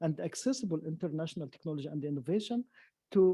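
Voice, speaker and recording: Lively intonation carries a dark, mellow tone in an Arabic accent. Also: man. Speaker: science academy president. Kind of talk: panel talk. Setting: lecture hall with audience. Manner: halting.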